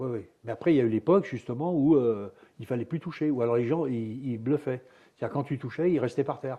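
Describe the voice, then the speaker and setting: His pitch is medium and varies in an ordinary way. The man speaks very fast. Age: 70s. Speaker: retired karate champion. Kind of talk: interview.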